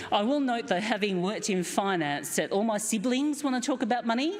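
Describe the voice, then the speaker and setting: A woman with a strong Australian accent speaks at a fairly quick pace and fairly high pitch, her voice swinging very widely. Room echo is audible, along with noticeable background noise. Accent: broad Australian. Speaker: keynote speaker, company director. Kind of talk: lecture.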